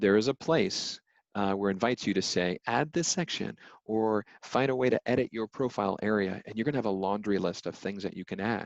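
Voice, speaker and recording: In a dry, close sound with no echo and a quiet background, a man with an ordinary speaking voice talks at a fairly quick pace in a fairly low pitch with ordinary pitch variation. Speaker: legal recruiter presenting a webinar. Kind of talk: webinar presentation with Q&A.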